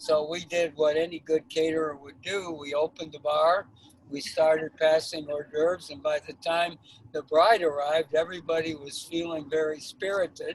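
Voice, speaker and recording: A man speaks at a moderate pace in a fairly high pitch and a flat monotone, recorded dry and close with no echo over noticeable background noise. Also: big swings in loudness. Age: 70s. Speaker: caterer. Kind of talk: interview storytelling.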